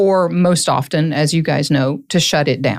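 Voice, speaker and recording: A woman at a moderate pace, with ordinary pitch variation and a dry, close sound free of echo. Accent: Southern. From US South, Tennessee (Hancock County). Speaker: lawyer, court-appointed receiver. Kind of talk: podcast interview.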